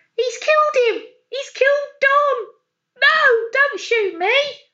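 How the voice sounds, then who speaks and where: Shouting in a put-on character voice, a woman hits an extremely high pitch at a fairly slow pace. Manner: mock-dramatic, shouting; flat intonation.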